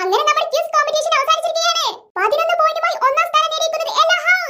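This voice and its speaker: A woman performs a squeaky, cartoonish character voice at an extremely high pitch with very wide pitch swings. She talks at a very fast pace with very even loudness. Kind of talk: Malayalam stage-announcer style. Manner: announcing, mixes English and Malayalam.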